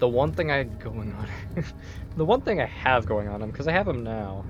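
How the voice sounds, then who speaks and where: The speaker keeps a moderate pace with music playing behind. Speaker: gaming youtuber. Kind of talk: let's play commentary.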